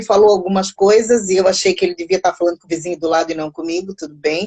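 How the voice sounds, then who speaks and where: In a Brazilian accent, a woman talks at a very fast pace with ordinary pitch variation. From Mozambique, raised largely in Brazil. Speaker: psychologist and music teacher. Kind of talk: casual interview. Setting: online live stream.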